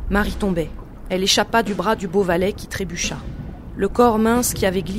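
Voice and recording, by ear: A voice reads aloud in a natural way.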